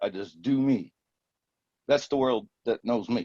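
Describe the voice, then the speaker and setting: At a fairly slow pace, a man with a medium pitch talks in a dry, close sound with no echo. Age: 60s. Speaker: podcast guest, retired computer professional. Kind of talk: storytelling in a casual podcast interview. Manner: halting, with fillers.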